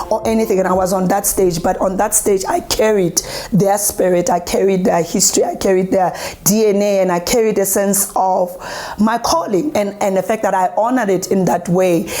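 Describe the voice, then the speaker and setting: Over noticeable background noise, a woman with a medium pitch speaks at a moderate pace in an animated tone, her loudness very even. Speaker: poet and performer. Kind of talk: interview testimony.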